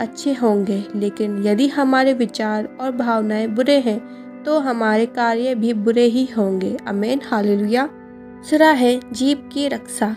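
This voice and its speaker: A woman's fairly high voice with fairly even intonation over music in the background. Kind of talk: Bible sermon narration. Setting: voice recorded by herself for a devotional video with background music.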